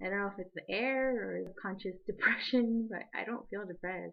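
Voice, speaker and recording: In a normal speaking voice, a woman talks at a moderate pace and a medium pitch. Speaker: college student. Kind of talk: casual video diary to camera.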